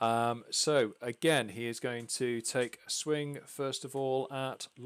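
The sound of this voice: Someone is reading. The voice is an unforced reading voice.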